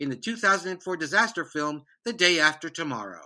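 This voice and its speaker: A raised, projected voice with a bright, sharp tone comes through in a very clean recording with a silent background. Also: man. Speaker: podcast host. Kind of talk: interview.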